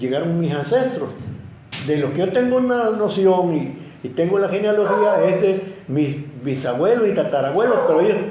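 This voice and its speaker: Over noticeable background noise and audible room echo, a man with a high pitch talks at a moderate pace with lively intonation. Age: 80s+. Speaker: local historian. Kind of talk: interview. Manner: halting, with many repetitions.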